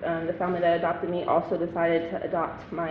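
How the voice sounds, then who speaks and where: Over noticeable background noise and audible room echo, a woman with a fairly low pitch speaks at a fairly quick pace. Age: 20s. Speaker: former youth offender telling her story. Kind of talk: testimony. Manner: halting, many fillers.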